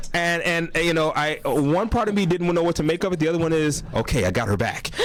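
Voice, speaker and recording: A man with an American accent talks at a very fast pace and high pitch, with ordinary pitch variation and very even loudness, over noticeable background noise. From Los Angeles (Compton). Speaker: actor. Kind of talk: radio interview. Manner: hesitant, many fillers.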